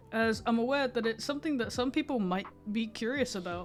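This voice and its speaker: A woman speaks at a moderate pace and a fairly high pitch while music plays behind her. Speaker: furry artist. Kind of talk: casual storytime talk to camera.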